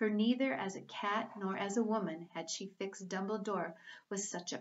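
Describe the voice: Plain reading aloud fills the clip. Its intonation remains fairly even.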